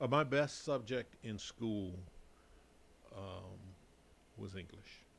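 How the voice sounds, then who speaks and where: Very slowly and with long, frequent pauses, a man with an American accent speaks at a fairly low pitch with ordinary pitch variation. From Chicago, US Midwest. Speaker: gym member, podcast guest. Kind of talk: casual interview chat.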